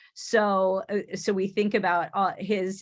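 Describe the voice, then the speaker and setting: Woman of medium pitch in a Michigan accent. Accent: non-Oklahoman (Michigan). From Michigan, US Midwest. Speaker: education professor. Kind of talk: online teacher workshop presentation. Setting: video call. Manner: halting, many restarts and fillers.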